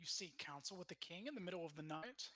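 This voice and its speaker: A man puts on a character voice, pitched high, with lively intonation. He talks at a very fast pace. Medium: actual play. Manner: curt, officious.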